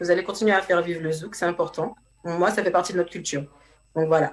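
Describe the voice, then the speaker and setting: Speech in a Martinican accent runs at a very fast pace. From Martinique.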